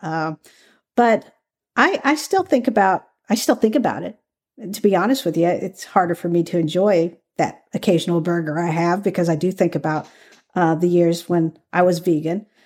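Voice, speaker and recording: A woman speaks with a Southern US accent and a fairly low pitch. The recording is very clean, with a silent background. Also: ordinary pitch variation, moderate pace. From Kentucky, US South. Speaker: former undercover FBI agent and author. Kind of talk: interview.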